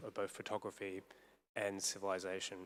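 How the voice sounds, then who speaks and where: Talking at a very fast pace, a man speaks in a fairly low pitch. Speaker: academic panel speaker. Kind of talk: panel discussion. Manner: loud.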